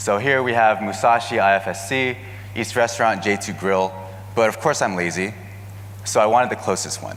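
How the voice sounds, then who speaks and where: Through audible room echo and noticeable background noise, a man with a Californian accent speaks fairly quickly at a fairly low pitch with fairly even intonation. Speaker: marketing manager giving a keynote. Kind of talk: conference keynote presentation. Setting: stage with audience.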